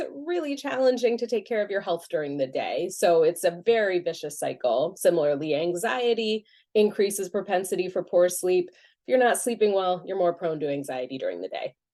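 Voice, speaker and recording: Lively intonation marks a woman's medium-pitched voice with a dark, mellow tone. She talks at a fairly quick pace. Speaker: clinical psychologist. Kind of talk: webinar lecture. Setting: video call. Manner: fast.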